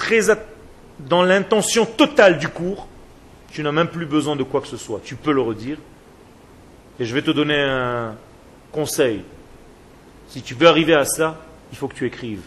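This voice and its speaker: A man with a fairly high pitch speaks slowly, with lively intonation and long, frequent pauses. His loudness swings widely. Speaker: rabbi teaching a Torah class. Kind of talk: lecture. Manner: slow, soft, with deliberate pauses; repetitive, spiraling delivery.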